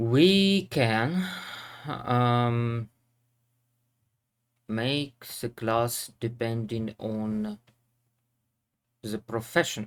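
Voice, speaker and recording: In a Russian accent, the speaker goes at a very slow pace with lively intonation and long, frequent pauses. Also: man, medium pitch for a man. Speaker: programming teacher. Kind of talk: tutorial. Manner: halting.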